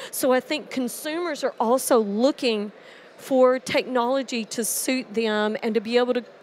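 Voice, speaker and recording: This woman, with an American accent, has a high pitch and fairly even intonation. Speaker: industry presenter. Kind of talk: conference presentation. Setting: conference stage with audience in headsets.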